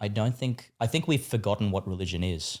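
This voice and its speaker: A man with an Australian accent talks at a very fast pace in a fairly low pitch, with ordinary pitch variation, on a very clean recording with a silent background. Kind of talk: casual podcast interview. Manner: animated, with many fillers and restarts.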